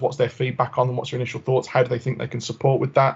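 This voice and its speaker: The delivery comes at a very fast pace. Its intonation is monotone and flat. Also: man. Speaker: health engagement officer. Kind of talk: committee presentation.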